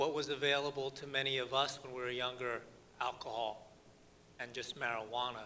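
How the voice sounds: A man's bright, sharp voice in an American accent, with little pitch movement. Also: medium pitch for a man, moderate pace.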